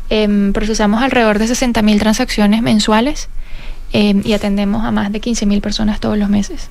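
A woman with a fairly high pitch, a Venezuelan accent, lively intonation and a fairly quick pace, amid audible room echo and noticeable background noise. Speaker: fintech cofounder and CEO. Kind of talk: radio interview.

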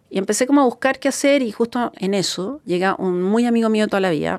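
A woman's lively intonation. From Chile. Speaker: entrepreneur. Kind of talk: interview testimony.

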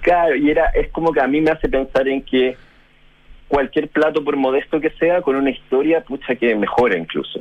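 Talking at a moderate pace with a Chilean accent, a man with a fairly high pitch keeps his loudness very even and shows ordinary pitch variation. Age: 40s. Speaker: journalist and food panelist. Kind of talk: casual chat.

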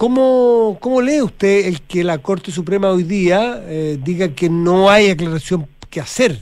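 The speech moves at a fairly slow pace with hardly any pauses and lively intonation. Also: man, high pitch for a man. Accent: Chilean. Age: 60s. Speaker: radio host. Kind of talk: radio interview.

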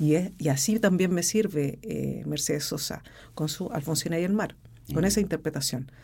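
A woman's very deep, low voice, dark and mellow in tone, with vocal fry, ordinary pitch variation and a moderate pace. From Chile, Rancagua. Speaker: opera singer. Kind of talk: interview. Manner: halting.

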